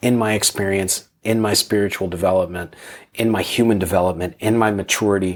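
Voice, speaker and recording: A man with an American accent talks fairly quickly in an unremarkable speaking voice, fairly low in pitch with fairly even intonation. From Pennsylvania, US. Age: 50s. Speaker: military veteran. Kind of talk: casual conversation. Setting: in-person recording in a room.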